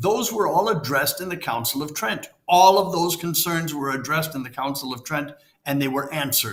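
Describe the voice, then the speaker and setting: Animated and somewhat breathy, a man talks at a fairly quick pace and fairly high pitch, his intonation lively. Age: 70s. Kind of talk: interview conversation.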